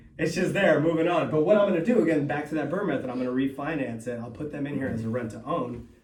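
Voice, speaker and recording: Very fast speech with hardly any pauses and ordinary pitch variation, amid noticeable background noise and audible room echo. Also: man. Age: 30s. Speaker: real estate investor and seminar host. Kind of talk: seminar talk. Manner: casual, halting with repetitions.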